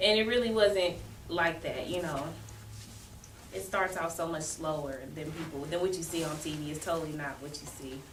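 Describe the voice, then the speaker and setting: A woman's fairly low voice with ordinary pitch variation, at a moderate pace with audible room echo. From US Midwest, Kansas City, Missouri. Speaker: guest, new mother. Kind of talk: casual interview.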